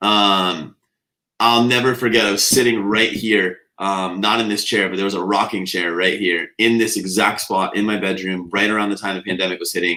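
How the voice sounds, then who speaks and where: A loud man with a fairly low pitch, fairly quick pace, fairly even intonation and a bright, sharp tone. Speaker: nutrition coach and business owner. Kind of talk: podcast Q&A interview.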